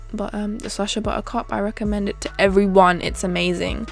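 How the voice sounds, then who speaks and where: Music plays in the background. A woman with a British accent speaks at a moderate pace. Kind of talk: makeup tutorial talking to camera. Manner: casual, chatty, opinionated.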